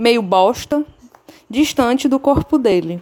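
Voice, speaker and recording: In a very clean recording with a silent background, a woman with a high pitch speaks fairly slowly and with lively intonation. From Ceará, Brazil. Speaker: listener. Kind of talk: recorded voice message.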